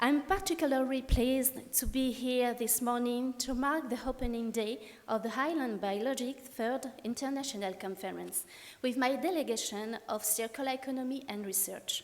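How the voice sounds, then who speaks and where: Speaking in a French accent at a moderate pace, a woman uses a high pitch with ordinary variation. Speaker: regional politician. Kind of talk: welcome speech. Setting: conference hall. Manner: formal.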